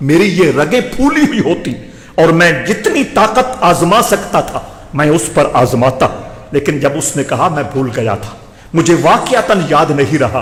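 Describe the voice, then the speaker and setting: Very wide pitch swings run through the voice, heard over noticeable background noise. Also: man, high pitch for a man. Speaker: Islamic scholar giving a Friday sermon. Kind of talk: religious sermon (khutba).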